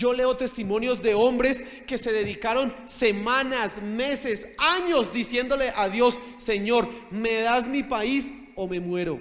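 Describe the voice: The tone is fairly bright, and the slow delivery has few pauses. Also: man, extremely high pitch for a man, ordinary pitch variation.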